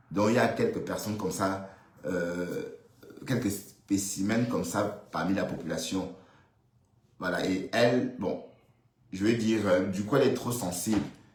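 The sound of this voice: Amid strong room echo, a man speaks at a low pitch with a slightly mellow tone and ordinary pitch variation. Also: moderate pace.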